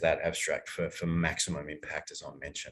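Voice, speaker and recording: Somewhat breathy, a man speaks at a moderate pace with an Australian accent. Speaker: archaeologist, workshop presenter. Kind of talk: online academic workshop lecture. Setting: online workshop.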